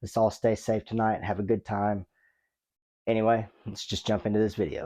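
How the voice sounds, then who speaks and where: A man's fairly low, dark, mellow voice, monotone and flat at a fairly quick pace, on a very clean recording with a silent background. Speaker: wrestling commentary YouTuber. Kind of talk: casual vlog monologue.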